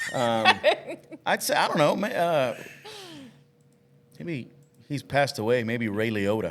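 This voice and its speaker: Against noticeable background noise, a man with a medium pitch talks at a fairly slow pace, using lively intonation and long, frequent pauses. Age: 40s. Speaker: podcast co-host. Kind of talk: casual chat.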